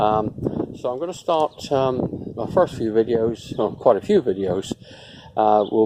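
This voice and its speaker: Against noticeable background noise, a man with a British accent talks with ordinary pitch variation. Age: 70s. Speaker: retired builder doing a DIY home extension. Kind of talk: casual video diary. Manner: hesitant, many fillers.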